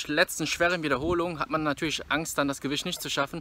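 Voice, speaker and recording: A man talks with a bright, sharp tone at a fairly high pitch. The sound is dry, with no echo. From Rhineland, Germany (Bergheim near Cologne); Rhineland, Germany. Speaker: fitness vlogger. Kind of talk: casual vlog talk to camera. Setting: gym. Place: street. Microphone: phone near.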